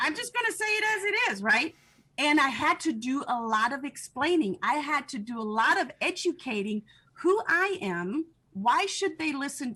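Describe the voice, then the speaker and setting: Her voice raised and projected, a woman speaks at a moderate pace in a bright, sharp tone with very wide pitch swings. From Germany (Munich). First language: German. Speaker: entrepreneur and NLP trainer. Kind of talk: podcast interview. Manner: animated.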